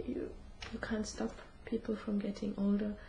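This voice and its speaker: A woman's medium-pitched voice keeps fairly even intonation while noticeable background noise sounds behind her. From Germany. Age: 20s. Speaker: student. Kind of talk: interview. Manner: halting.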